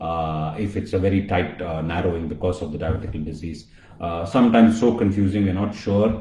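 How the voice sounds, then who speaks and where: Very fast speech from a man with a very deep, low pitch and a Tamil accent, with audible room echo and noticeable background noise. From India, Chennai. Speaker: colorectal surgeon. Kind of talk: live-stream health talk. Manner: hesitant, many fillers.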